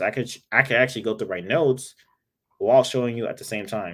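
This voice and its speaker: The man sounds animated. His pitch sits in the medium range. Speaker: IT instructor. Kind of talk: live-streamed tutorial. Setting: live stream. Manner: fast; casual, animated.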